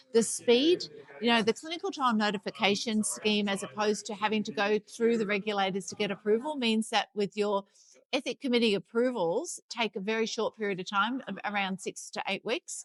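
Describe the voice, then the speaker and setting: Speaking with a strong Sydney accent, a woman keeps a fairly quick pace. Her pitch is fairly high, with ordinary variation. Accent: heavy Sydney Australian. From Australia, Sydney. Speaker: life science consultant. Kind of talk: interview. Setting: conference.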